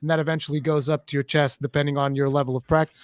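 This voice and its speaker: The speech is very fast, in a Portuguese accent. The recording is very clean and dry, with a close sound, a silent background and no echo. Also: man. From Portugal. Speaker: streamer, parent. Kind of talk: casual chat.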